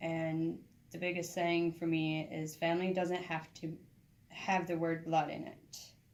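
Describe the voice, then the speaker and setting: A woman's fairly low voice in a monotone, flat delivery at a fairly slow pace, with audible room echo. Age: 30s. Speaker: student and former homeless person. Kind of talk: interview testimony.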